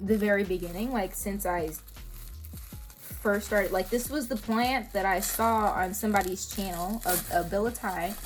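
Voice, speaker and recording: Vocal fry runs through a voice with fairly even intonation, heard with audible room echo. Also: woman, medium pitch for a woman, moderate pace. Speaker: plant hobbyist vlogger. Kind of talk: casual vlog. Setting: outdoors. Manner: loud.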